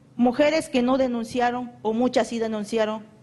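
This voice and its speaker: The woman speaks with fairly even intonation. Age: 20s. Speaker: human rights victim. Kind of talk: testimony. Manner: halting.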